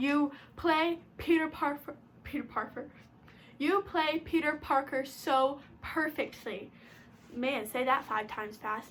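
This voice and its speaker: A loud voice in an animated tone moves at a fairly slow pace with long, frequent pauses and ordinary pitch variation. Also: woman, high pitch for a woman. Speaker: YouTuber. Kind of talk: casual vlog. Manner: loud, shouting.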